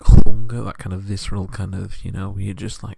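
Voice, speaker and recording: Whispering and soft-spoken with vocal fry, a man speaks at a fairly quick pace on a very clean recording with a silent background. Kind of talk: asmr soft-spoken rambling talk. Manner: soft-spoken, whispering.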